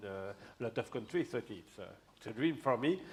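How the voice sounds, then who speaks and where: The speaker is a man at medium pitch with a French accent. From France. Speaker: crime novelist and geography professor. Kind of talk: stage interview. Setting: stage with audience. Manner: halting.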